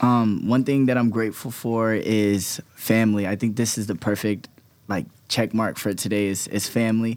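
A man with an American accent speaks in an ordinary speaking voice at medium pitch, with fairly even intonation. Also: moderate pace. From California. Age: 20s. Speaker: dancer and dance company leader. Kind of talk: casual interview chat.

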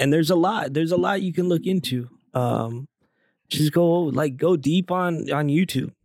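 The speaker talks at a fairly slow pace with ordinary pitch variation, in an ordinary speaking voice. The recording is very clean, with a silent background. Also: man. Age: 30s. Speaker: podcast host. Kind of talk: casual chat.

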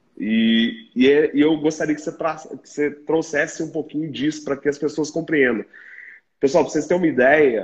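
An ordinary speaking voice from a man, fairly high in pitch, with ordinary pitch variation against a quiet background. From Minas Gerais, Brazil. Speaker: podcast host in pharmacy retail sector. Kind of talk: interview conversation.

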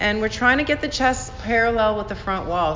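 A woman's calm, medium-pitched voice with ordinary pitch variation over noticeable background noise. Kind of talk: guided yoga class with calming meditation-style cueing. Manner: slow, soft, soothing and unhurried, with gentle pauses; calm, instructive, gently encouraging.

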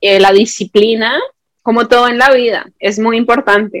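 Fairly high in pitch, a woman talks at a fairly slow pace with monotone, flat intonation. The sound is dry and close, with no echo. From Colombia, Bogotá. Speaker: YouTube content creator. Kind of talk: casual interview.

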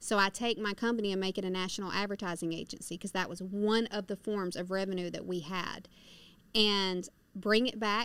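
A woman speaks in a Southern US accent at a moderate pace and a medium pitch. Her intonation is monotone and flat, on a very clean recording with a silent background. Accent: Southern US (Georgia). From US South, rural northwest Georgia. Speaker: prison reform advocate, former inmate. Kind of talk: testimony. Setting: studio.

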